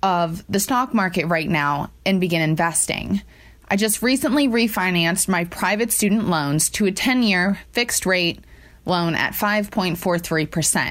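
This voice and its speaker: In an ordinary speaking voice, a woman with an American accent talks at a fairly slow pace and medium pitch, with ordinary pitch variation and very even loudness. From Ohio, US. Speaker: caller. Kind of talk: recorded listener question.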